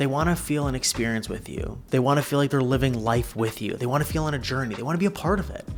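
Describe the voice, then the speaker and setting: Quiet speech at a very fast pace with hardly any pauses, over music in the background. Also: man, medium pitch for a man, ordinary pitch variation. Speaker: social media content coach. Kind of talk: casual vlog monologue.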